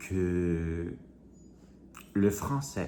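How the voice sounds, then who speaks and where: Audible room echo surrounds a speaker with an American accent. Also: man. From US. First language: English (speaking French). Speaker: vlogger. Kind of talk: casual vlog monologue. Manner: halting, many hesitations.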